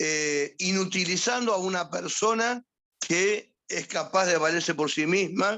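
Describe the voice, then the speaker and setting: Speaking at a very slow pace, a man with a Rioplatense accent uses a high pitch and ordinary pitch variation. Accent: Argentine Spanish (rioplatense). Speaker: psychiatrist. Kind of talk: lecture. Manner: firm.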